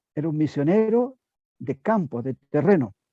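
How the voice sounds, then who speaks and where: A man's fairly high-pitched voice, dark and mellow in tone, with lively intonation and a dry, close sound with no echo. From southern Chile. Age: 70s. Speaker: church member giving testimony. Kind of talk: testimony. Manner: halting.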